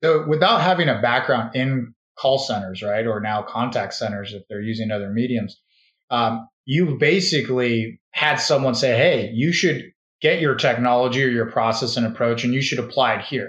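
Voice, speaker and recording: A man at medium pitch talks in an ordinary speaking voice, keeping a moderate pace and ordinary pitch variation. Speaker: podcast host. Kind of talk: interview.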